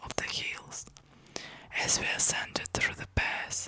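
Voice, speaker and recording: A woman whispers in a soothing tone. Noticeable background noise sits behind her. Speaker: ASMR content creator, book channel host. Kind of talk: whispered ASMR book reading. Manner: whispered, soft, soothing.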